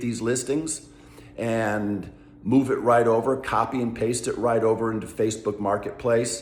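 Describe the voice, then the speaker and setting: Noticeable background noise and audible room echo surround the recording. A man speaks at a medium pitch. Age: 60s. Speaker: travel vlogger. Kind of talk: casual vlog monologue. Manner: conversational, many fillers.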